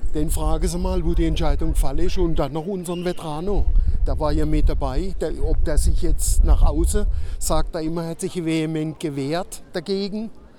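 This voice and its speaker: A man at a moderate pace, with music in the background and audible room echo. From Baden, Kehl. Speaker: local resident protester. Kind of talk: street interview.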